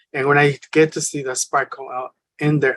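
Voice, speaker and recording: The woman has a Spanish accent and a very deep, low pitch. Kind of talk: panel discussion. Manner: halting, many fillers.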